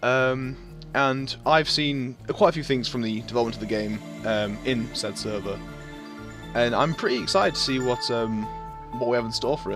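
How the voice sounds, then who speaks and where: Over background music, a man with a medium-pitched voice speaks at a moderate pace with ordinary pitch variation. He leaves long, frequent pauses. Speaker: game reviewer. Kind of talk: casual let's-play commentary.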